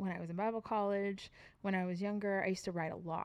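This woman's voice sits at a medium pitch with fairly even intonation. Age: 40s. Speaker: podcast co-host, worship leader. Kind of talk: casual chat.

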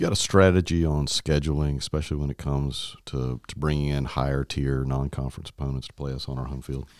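This man's voice is very deep and low-pitched, delivered in a flat monotone at a very fast pace with hardly any pauses. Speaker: university president, podcast host. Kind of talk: interview host.

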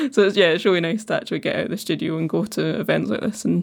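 A woman talks in a Scottish accent. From Falkirk, Scotland. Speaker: ceramicist. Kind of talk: casual interview chat. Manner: relaxed, funny.

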